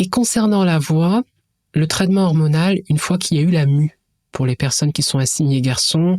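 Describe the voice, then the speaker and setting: Speaking at a moderate pace, a woman with a very deep, low pitch has a dark, mellow tone and ordinary pitch variation. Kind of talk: educational podcast interview. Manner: hesitant, with fillers.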